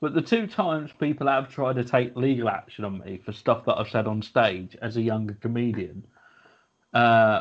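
At a moderate pace, a man with an unremarkable speaking voice talks at a medium pitch with ordinary variation. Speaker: comedian and podcast co-host. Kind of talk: casual comedy chat.

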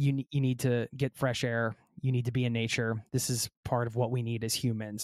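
On a very clean recording with a silent background, a man with an American accent uses a normal speaking voice at medium pitch and a moderate pace. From United States. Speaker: travel podcaster. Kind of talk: interview.

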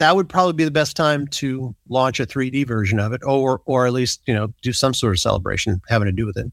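A man with an American accent speaks in a plain, everyday voice at medium pitch and a moderate pace, with ordinary pitch variation, a dry, close sound with no echo, and a very clean recording with a silent background. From US South, Biloxi, Mississippi. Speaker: magazine publisher. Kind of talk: interview.

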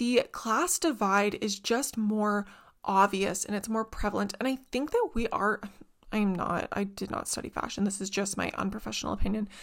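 A woman with a Canadian accent, fairly high pitch, an animated tone and lively intonation at a moderate pace, in a very clean recording with a silent background. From Canada, small town. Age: 20s. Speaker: podcast host. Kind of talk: casual chat.

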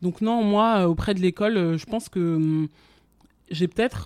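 A woman's fairly low, dark and mellow voice at a moderate pace, with ordinary pitch variation, on a very clean recording with a silent background. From France. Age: 20s. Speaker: fashion communications professional. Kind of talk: interview. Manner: halting.

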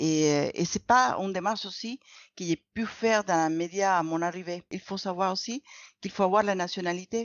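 Speaking at a moderate pace with a Spanish accent, a woman has a medium-pitched voice. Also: ordinary pitch variation. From Venezuela. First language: Spanish (speaking French). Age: 50s. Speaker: former dentist, clinical research associate. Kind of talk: interview. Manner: halting, with many repetitions.

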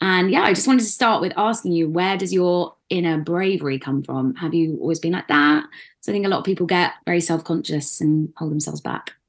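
Against a quiet background, a woman with an ordinary speaking voice talks at a fairly quick pace with hardly any pauses, her fairly low pitch showing ordinary variation. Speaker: podcast host. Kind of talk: casual interview chat.

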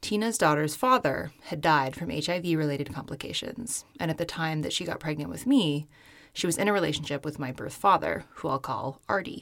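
A woman's very deep, low voice with an American accent, moderate in pace and lively in intonation, on a very clean recording with a silent background. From US Pacific Northwest, Seattle area. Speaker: podcast host. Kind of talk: scripted narration. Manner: formal.

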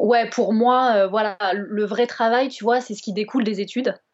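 A woman with a Bordeaux accent talks at a moderate pace. Her pitch is fairly high and her intonation fairly even. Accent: southwestern French (Bordeaux). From France, Bordeaux. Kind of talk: casual interview chat.

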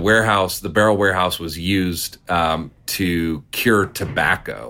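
A bright, sharp tone at a fairly slow pace, on a very clean recording with a silent background. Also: man. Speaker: distillery owner. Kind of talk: casual interview. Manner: talkative storyteller.

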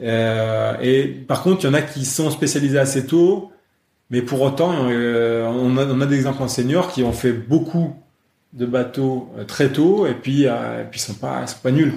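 Speaking fairly slowly, a man has a medium-pitched voice with ordinary pitch variation. There is audible room echo. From France, Lyon area. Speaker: national kayak coach. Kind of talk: interview. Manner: halting, many repetitions and fillers.

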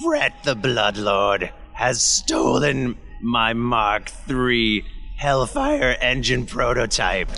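A man's put-on character voice at medium pitch and a very slow pace, with faint music in the background. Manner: brusque, grudging, bossy.

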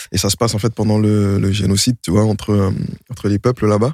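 Fairly quick and fairly even in intonation, a man's fairly low voice is an unremarkable speaking voice, dry and close with no echo in a very clean recording with a silent background. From Montreuil, Paris suburbs. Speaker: rapper. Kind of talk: casual chat. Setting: studio.

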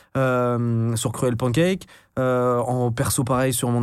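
Audible room echo around a medium-pitched male voice. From France, Brittany (Finistère, Brest). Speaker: entrepreneur and content creator. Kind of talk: casual interview chat.

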